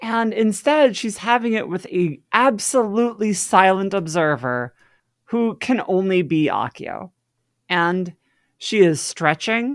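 In a very clean recording with a silent background, a woman with a normal speaking voice talks at a fairly slow pace, medium pitch and lively intonation. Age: 30s. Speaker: podcast co-host. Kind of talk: casual chat.

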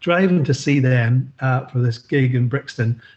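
Somewhat breathy, a man speaks at a medium pitch. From Northern Ireland. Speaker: former record label boss. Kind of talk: casual chat.

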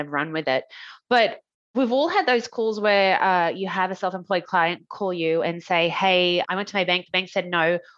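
A woman's medium-pitched voice with an Australian accent, fairly quick, with ordinary pitch variation and a quiet background. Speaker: mortgage broker. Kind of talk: casual interview chat.

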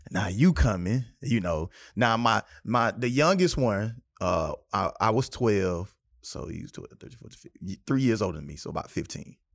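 With a South Carolina accent, a man speaks at a moderate pace and medium pitch, with very wide pitch swings and big swings in loudness, on a very clean recording with a silent background. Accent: Southern US, South Carolina. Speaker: podcast host. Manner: animated, humorous.

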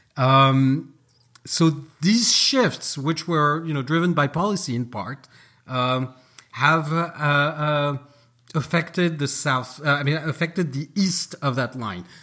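A man speaks very slowly in a French accent, his pitch fairly high for a man. His tone is bright and sharp, with ordinary pitch variation. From France, Paris. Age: 40s. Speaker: author. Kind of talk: interview. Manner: animated.

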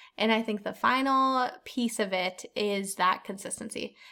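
A woman speaks with a bright, sharp tone. Her pitch variation is ordinary. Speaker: podcast host. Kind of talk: casual chat.

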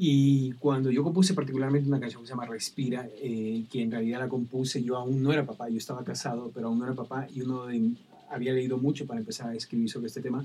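Talking at a very fast pace with hardly any pauses, a man holds a medium pitch. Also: fairly even intonation. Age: 50s. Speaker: children's music songwriter and singer. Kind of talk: interview. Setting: live-streamed studio conversation.

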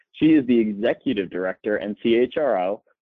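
This is an ordinary speaking voice from a man at medium pitch. He keeps a moderate pace with ordinary pitch variation. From Florida, West Palm Beach. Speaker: podcast co-host, HR professional. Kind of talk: podcast interview.

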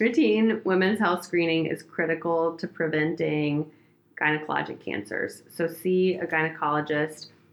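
A woman with an American accent speaks at a moderate pace in a fairly low voice, her pitch varying in an ordinary way over noticeable background noise. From Oregon, US Pacific Northwest. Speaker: gynecologic oncologist. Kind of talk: casual chat with medical explanation.

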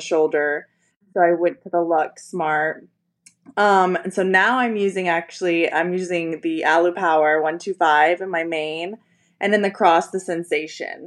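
In an American accent, a woman with an unremarkable speaking voice talks at a moderate pace, her pitch fairly low and her intonation fairly even. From US, Destin, Florida. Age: 30s. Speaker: professional tennis player. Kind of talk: casual chat.

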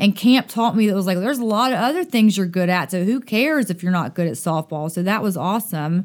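A woman speaks with a Southern US accent at medium pitch, with ordinary pitch variation. The recording is very clean, with a silent background. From US South, Dothan, Alabama. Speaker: summer camp director. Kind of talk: podcast interview.

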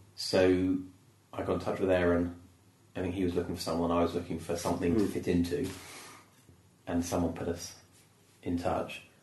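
Fairly quick, somewhat breathy speech with a British accent, long, frequent pauses and audible room echo. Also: man, very deep, low pitch for a man. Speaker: comedian. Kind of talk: casual chat. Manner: animated.

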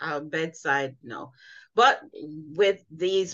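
Ordinary pitch variation in a woman's sharp, bright tone. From Jamaica. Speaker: nurse consultant and patient advocate. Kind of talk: interview.

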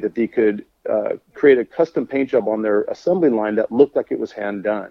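A man speaks at a fairly quick pace and a medium pitch. He has a normal speaking voice. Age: 50s. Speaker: custom car painter and designer. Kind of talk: casual chat.

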